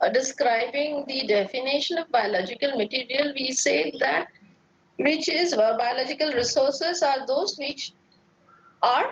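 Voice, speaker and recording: Against noticeable background noise, a woman with a high pitch speaks at a fairly slow pace with lively intonation. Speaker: lecturer. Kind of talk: lecture.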